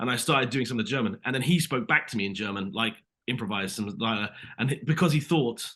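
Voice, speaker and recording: This very fast speaker has a British accent and a bright, sharp tone. Pitch variation is ordinary. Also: man. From Britain. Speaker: actor. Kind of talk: interview. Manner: animated.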